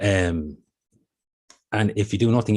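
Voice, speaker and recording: Against a quiet background, a man with a very deep, low pitch talks in an Irish accent. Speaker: intellectual property office presenter. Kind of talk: webinar presentation. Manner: fast.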